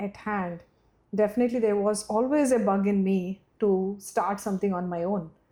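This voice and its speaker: Speaking at a moderate pace, a woman with a Telugu accent has a dark, mellow tone. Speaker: startup founder. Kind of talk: podcast interview. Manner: halting, many fillers.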